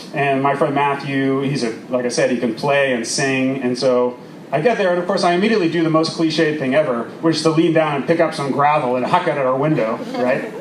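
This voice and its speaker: With audible room echo and noticeable background noise, a man speaks at a fairly high pitch and a fairly quick pace, with hardly any pauses and ordinary pitch variation. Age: 40s. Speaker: storyteller. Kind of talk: storytelling performance. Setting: outdoor stage with audience. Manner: animated.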